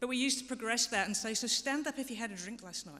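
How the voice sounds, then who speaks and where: This woman talks at a very fast pace with a fairly high pitch and ordinary pitch variation. Her tone is bright and sharp. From England. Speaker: harm reduction programme director. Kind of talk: conference presentation. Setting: parliamentary symposium stage.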